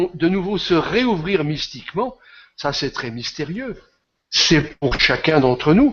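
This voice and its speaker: Very wide pitch swings from a man at a very slow pace. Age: 70s. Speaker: esoteric author and speaker. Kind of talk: interview, answering audience questions. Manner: passionate.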